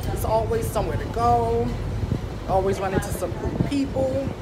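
With music in the background, a woman speaks at a moderate pace. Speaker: vlogger. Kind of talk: casual vlog chat. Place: boat. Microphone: phone near.

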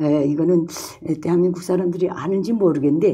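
This somewhat breathy voice has a dark, mellow tone and ordinary pitch variation, heard over a quiet background. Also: woman. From North Korea. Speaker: former North Korean journalist, defector. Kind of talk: casual chat. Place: studio. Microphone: lapel.

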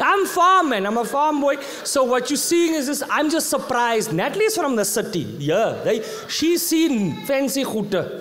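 An animated tone with very wide pitch swings and a South African accent, over light background noise. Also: man, extremely high pitch for a man, moderate pace. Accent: South African English, Afrikaans-inflected. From South Africa, Eastern Cape. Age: 30s. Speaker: comedian. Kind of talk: stand-up. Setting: stage with audience. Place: stage. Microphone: handheld.

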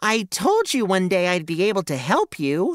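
A put-on character voice, female-sounding and squeaky, moves at a moderate pace. Its pitch sits in the medium range for a woman. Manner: brave earnest.

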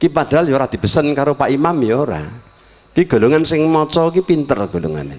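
A man at a fairly quick pace, with very wide pitch swings. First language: Javanese (speaking Indonesian). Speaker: Islamic preacher. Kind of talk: sermon. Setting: circumcision celebration gathering with audience. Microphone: handheld.

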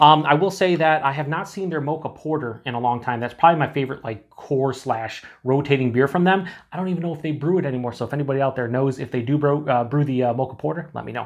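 A man races along at a very fast pace with hardly any pauses and ordinary pitch variation against a quiet background. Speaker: beer reviewer. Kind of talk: casual review chat. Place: home room.

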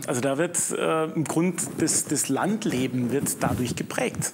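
A man's voice with ordinary pitch variation, over noticeable background noise. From Swabian Jura, Baden-Württemberg. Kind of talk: studio discussion.

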